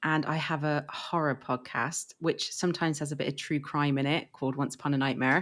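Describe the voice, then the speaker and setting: A woman with an English accent on a very clean recording, the background silent. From England. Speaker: podcaster. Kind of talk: casual chat.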